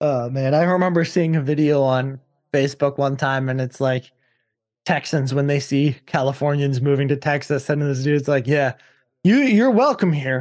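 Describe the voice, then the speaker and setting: A man with an American accent speaks in an ordinary speaking voice, fairly high in pitch, with fairly even intonation. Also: moderate pace, quiet background. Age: 20s. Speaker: podcast host and metal vocalist. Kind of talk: casual chat.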